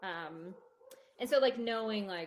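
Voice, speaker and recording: A woman's fairly high-pitched voice, a plain, everyday voice with lively intonation. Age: 30s. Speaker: mother and friend of the host. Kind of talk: casual chat.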